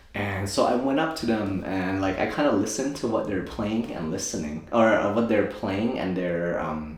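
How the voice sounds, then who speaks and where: Noticeable background noise and audible room echo surround a man speaking with a Thai accent. His pitch is fairly low, with ordinary pitch variation. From Thailand, moved to US at nine. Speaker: optometrist and DJ. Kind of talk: interview, casual chat. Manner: casual, many fillers.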